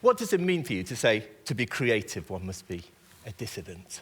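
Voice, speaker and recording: A man speaks with a British accent at a medium pitch. His pitch swings very widely. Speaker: writer and interviewer. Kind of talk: on-stage interview. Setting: stage with audience.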